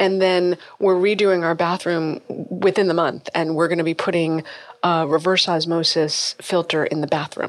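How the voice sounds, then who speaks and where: Speaking at a moderate pace with an American accent, a woman keeps a fairly low pitch and monotone, flat intonation. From Massachusetts. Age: 50s. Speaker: functional medicine gynecologist. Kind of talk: interview.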